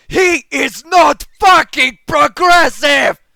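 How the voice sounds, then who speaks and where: A shrill, shouted put-on character voice at a very slow pace. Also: man, extremely high pitch for a man. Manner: shrieking, furious.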